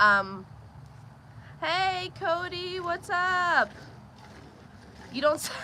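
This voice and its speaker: A woman's raised, projected voice, extremely high in pitch, with an American accent, a very slow pace, long, frequent pauses and ordinary pitch variation, over noticeable background noise. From Pennsylvania. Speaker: homesteader streaming farm chores. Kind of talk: live stream chat and Q&A.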